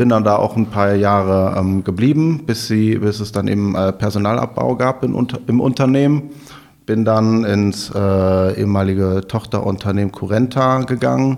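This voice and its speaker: A man speaks in a normal speaking voice at a fairly low pitch and a moderate pace. His pitch variation is ordinary and his loudness very even. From Rhineland, Germany (Overath near Cologne). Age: 30s. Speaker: startup managing director and marketing head. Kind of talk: interview.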